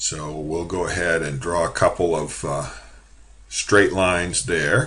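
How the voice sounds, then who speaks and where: With a very deep, low pitch and vocal fry, a man speaks at a fairly slow pace. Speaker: college drafting instructor. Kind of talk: screen-recorded software tutorial. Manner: casual with many fillers.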